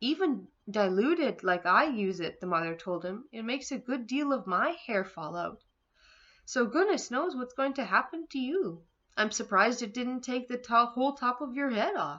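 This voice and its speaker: Putting on a character voice, a woman speaks in a shrill, high pitch at a moderate pace. Her pitch swings very widely. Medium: read story. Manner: shrieking, scornful.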